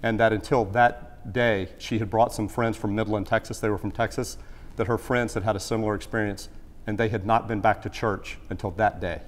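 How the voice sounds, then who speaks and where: Speaking at a fairly quick pace, a man with a Southern US accent uses a fairly low pitch and a monotone, flat intonation. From US South, South Carolina (Greenville). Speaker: former TV executive and plane crash survivor speaking at church. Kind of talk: church talk Q&A. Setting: church with audience. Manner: halting, many repetitions and fillers.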